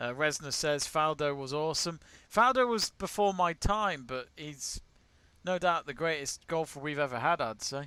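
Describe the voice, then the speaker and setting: With an English accent, a man talks at a moderate pace in a fairly high pitch, his tone bright and sharp and his intonation lively. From England. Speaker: sports watch-along host. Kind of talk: live watch-along commentary and chat. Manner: casual.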